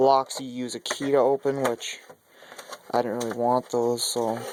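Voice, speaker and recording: Delivering his words at a fairly slow pace, a man speaks with monotone, flat intonation. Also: dry, close sound with no echo. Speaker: car enthusiast vlogger. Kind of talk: casual vlog walkthrough. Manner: casual, filler-heavy.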